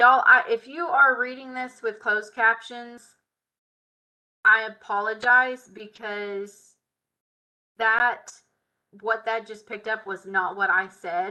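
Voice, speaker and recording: In a Southern US accent, a woman speaks at a very slow pace with long, frequent pauses, a fairly high pitch, a bright, sharp tone, ordinary pitch variation and big swings in loudness against a quiet background. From US South. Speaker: software tutorial instructor. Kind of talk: live tutorial. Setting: live stream. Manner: casual. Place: home room. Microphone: webcam.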